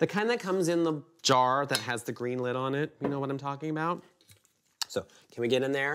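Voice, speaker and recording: Music plays behind a man speaking. His pitch varies in an ordinary way. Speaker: baking show host. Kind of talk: tutorial. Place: kitchen.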